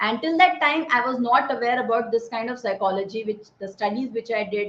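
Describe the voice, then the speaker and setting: A woman with an Indian accent, fairly high in pitch, with ordinary pitch variation. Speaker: army veteran and speaker on positive psychology. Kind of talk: talk to an online audience.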